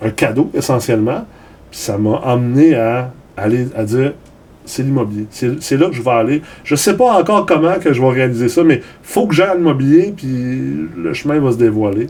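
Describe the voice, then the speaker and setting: In a Quebec accent, a man talks at a medium pitch and a moderate pace. His intonation is lively, and his loudness swings a lot. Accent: Québécois French. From Los Angeles, US, raised by Québécois parents. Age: 40s. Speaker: entrepreneur. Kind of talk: interview. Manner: repetitive stammering.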